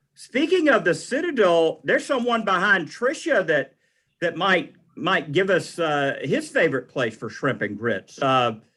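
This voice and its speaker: A loud man with a high pitch, very wide pitch swings, a bright, sharp tone and a fairly slow pace. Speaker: utility commissioner. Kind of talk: committee meeting chairing. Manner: casual.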